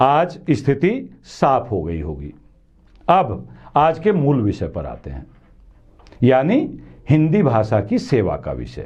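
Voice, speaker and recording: Long, frequent pauses break up the speech, and the loudness swings widely. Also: man. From western Uttar Pradesh, India. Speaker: news commentary show host. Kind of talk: monologue commentary to camera.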